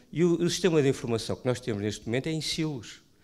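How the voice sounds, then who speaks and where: A man with a European Portuguese accent talks at a very fast pace and a fairly high pitch, with ordinary pitch variation, in a very clean recording with a silent background. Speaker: primary care doctor. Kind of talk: panel discussion. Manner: halting.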